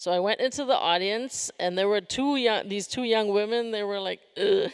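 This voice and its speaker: A woman with a fairly high pitch talks in a normal speaking voice with ordinary pitch variation. The recording is very clean, with a silent background. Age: 60s. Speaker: performance artist. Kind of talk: Q&A answer after a lecture performance.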